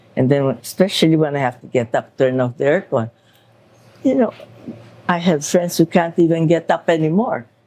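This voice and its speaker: A woman speaks with a very deep, low pitch and a dark, mellow tone. Her pace is fairly quick, her intonation lively, and she takes long, frequent pauses. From Philippines. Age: 80s+. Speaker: elderly interviewee. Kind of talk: casual interview chat. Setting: at a home.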